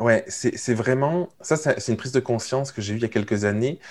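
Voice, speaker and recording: At a moderate pace, a man with a plain, everyday voice speaks at medium pitch with ordinary pitch variation on a very clean recording with a silent background. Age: 30s. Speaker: entrepreneur coach. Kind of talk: casual chat.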